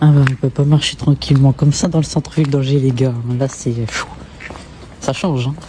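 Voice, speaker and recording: A man talks at a fairly quick pace with fairly even intonation, breaking often for long pauses. Noticeable background noise runs underneath. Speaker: vlogger. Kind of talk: travel vlog. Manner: hesitant, many fillers.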